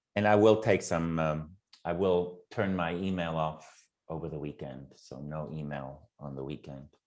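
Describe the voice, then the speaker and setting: A man speaks at a moderate pace in a very deep, low voice, with ordinary pitch variation and big swings in loudness. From Germany. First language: German. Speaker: program facilitator and university lecturer. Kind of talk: casual chat.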